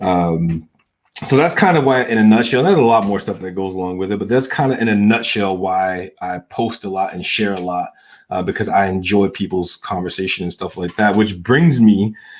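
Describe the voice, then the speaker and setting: A man's fairly low voice with an American accent, ordinary pitch variation, and a fairly quick pace. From US South. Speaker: vlogger. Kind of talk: casual monologue. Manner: hesitant, many fillers.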